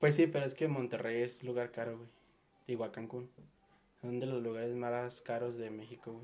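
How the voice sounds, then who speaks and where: With a dark, mellow tone, a man speaks at a medium pitch and moderate pace, his intonation monotone and flat but his loudness swinging widely. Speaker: podcast co-host. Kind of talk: casual chat.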